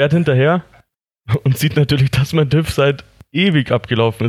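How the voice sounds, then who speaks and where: At a moderate pace, a man talks with ordinary pitch variation, very even loudness, and long, frequent pauses. The sound is dry and close, with no echo. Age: 20s. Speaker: motorcycle hobbyist. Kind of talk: casual chat.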